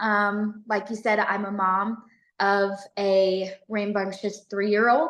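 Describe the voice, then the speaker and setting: A woman speaks very slowly in a Southern US accent, her pitch sitting at a medium level. Her intonation stays monotone and flat. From US South, Tennessee near Memphis. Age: 20s. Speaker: police officer. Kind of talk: podcast interview.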